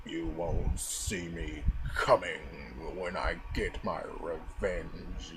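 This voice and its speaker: Through loud background noise, a man performs a put-on character voice at a very slow pace. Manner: menacing.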